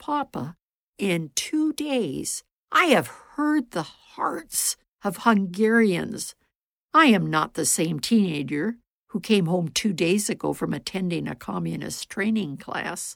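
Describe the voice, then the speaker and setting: A woman speaks in a solemn tone at a very slow pace with vocal fry and very wide pitch swings. The recording is very clean, with a silent background. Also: medium pitch for a woman. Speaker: storyteller. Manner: measured, solemn storyteller's pace, earnest; shifts tone to voice characters in quoted dialogue.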